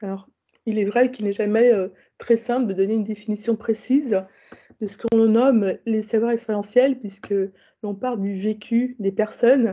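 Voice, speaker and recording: A woman speaks at a moderate pace in a fairly high pitch. Her tone is dark and mellow, with flat, monotone intonation. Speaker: conference speaker. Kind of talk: conference talk.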